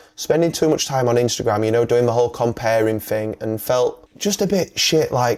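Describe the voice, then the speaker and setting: A man in a Yorkshire accent, medium pitch, lively intonation and fairly quick pace, with music in the background. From northern England, Yorkshire. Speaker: wedding videographer. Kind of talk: casual podcast chat. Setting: podcast. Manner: animated.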